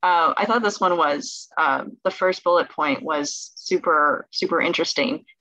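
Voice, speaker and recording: A woman with a Californian accent uses lively intonation and a bright, sharp tone, recorded dry with no echo over a quiet background. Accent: Californian American English. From Southern California. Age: 20s. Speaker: medical student; presenter. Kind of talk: presentation. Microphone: webcam.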